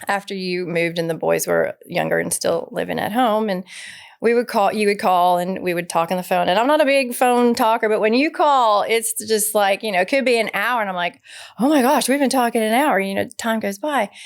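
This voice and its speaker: At a fairly quick pace, a speaker with a Southern US accent uses ordinary pitch variation on a very clean recording with a silent background. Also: woman, fairly high pitch for a woman. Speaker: podcast co-host. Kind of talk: casual chat.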